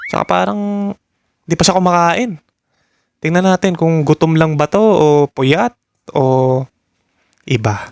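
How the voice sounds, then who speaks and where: Music plays in the background as a man talks with lively intonation. His fairly high voice has a dry, close sound with no echo. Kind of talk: reaction video commentary.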